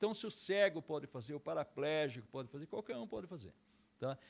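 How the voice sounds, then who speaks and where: Speaking with very wide pitch swings, a man holds a fairly high pitch. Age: 60s. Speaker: karate instructor. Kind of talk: interview.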